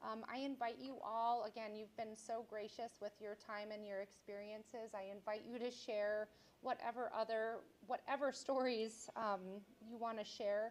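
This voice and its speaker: A woman at a fairly high pitch, her intonation fairly even. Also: moderate pace. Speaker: state official addressing community. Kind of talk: public listening session remarks. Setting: community meeting with audience. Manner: loud; halting, many fillers.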